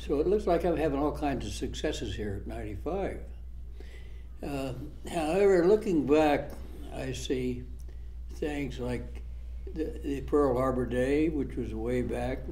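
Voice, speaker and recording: A man speaks at a fairly slow pace, leaving long, frequent pauses. Audible room echo surrounds his voice. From US Midwest, Iowa farming community. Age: 90s. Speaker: war veteran. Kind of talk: oral history interview. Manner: halting.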